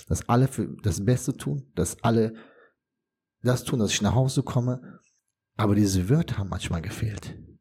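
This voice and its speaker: A man's medium-pitched, dark, mellow and somewhat breathy voice at a moderate pace, with ordinary pitch variation and long, frequent pauses. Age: 40s. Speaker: former ICU patient. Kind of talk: testimony.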